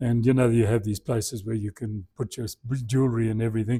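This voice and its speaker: The voice is somewhat breathy and dark, mellow in tone, moving at a very fast pace with fairly even intonation in a very clean recording with a silent background. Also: man. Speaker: church lecturer. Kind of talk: lecture. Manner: halting.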